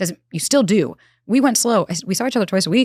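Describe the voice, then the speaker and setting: Very fast, animated speech in a New York accent, with a dry, close sound, no echo, and a very clean recording with a silent background. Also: woman. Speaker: relationship expert. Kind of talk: interview.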